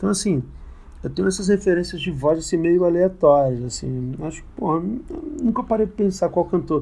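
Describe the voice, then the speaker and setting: The tone is dark and mellow. A man delivers his words at a moderate pace. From Brasília (Ceilândia/Taguatinga). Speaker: musician. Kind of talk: interview.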